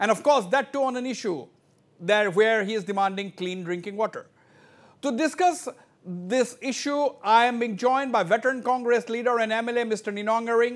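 A man's extremely high-pitched voice at a moderate pace, with ordinary pitch variation. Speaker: news show host. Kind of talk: televised panel debate. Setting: studio. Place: studio.

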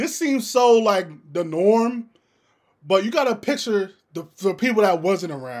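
A man at a moderate pace with lively intonation against a quiet background. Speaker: reaction video host. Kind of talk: casual reaction commentary.

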